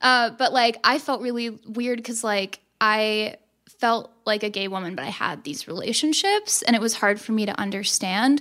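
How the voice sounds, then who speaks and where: A woman with an American accent speaks in a fairly high pitch, her tone bright and sharp. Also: ordinary pitch variation, moderate pace, very clean recording, silent background. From Texas. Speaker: podcast guest. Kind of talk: casual chat.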